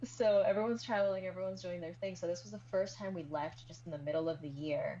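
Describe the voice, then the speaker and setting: Talking at a very fast pace with hardly any pauses, a woman uses a very deep, low pitch that swings very widely, her loudness rising and falling sharply amid audible room echo. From Colombia, then US Midwest (Kansas City) from age eight. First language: Spanish. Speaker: guest, immigrant and video creator. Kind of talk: casual interview chat.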